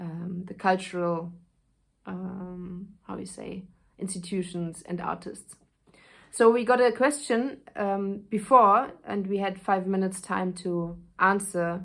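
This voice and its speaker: A woman with a German accent talks very slowly, with big swings in loudness. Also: medium pitch for a woman, fairly even intonation. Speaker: actress. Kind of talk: casual spoken intro; reading aloud of a speech. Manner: halting, with fillers.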